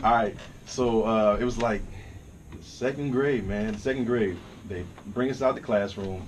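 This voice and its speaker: A man with an American accent speaks at a fairly low pitch, with audible room echo around him. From US South (Dallas, Texas; later Virginia). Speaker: rapper and songwriter. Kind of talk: casual chat.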